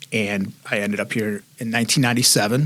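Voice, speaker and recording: A man with a medium pitch talks at a moderate pace. His intonation stays fairly even. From Northern Virginia, born in Puerto Rico. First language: Spanish. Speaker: police major. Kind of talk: interview.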